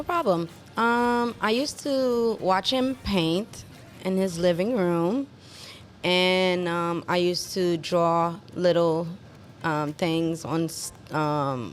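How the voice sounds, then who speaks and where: Music plays in the background as a woman speaks at a very slow pace. Her intonation is lively. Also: fairly low pitch for a woman. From Haiti. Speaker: contemporary artist. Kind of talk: interview.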